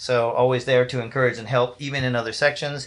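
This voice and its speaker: A man speaking at a fairly quick pace. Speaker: band director. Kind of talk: awards ceremony announcements. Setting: live stream. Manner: fast.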